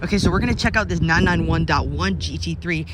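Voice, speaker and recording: Very wide pitch swings mark this man's speech. Behind him, background noise is noticeable. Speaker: car vlogger. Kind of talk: walkaround video commentary. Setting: car showroom. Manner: fast; animated.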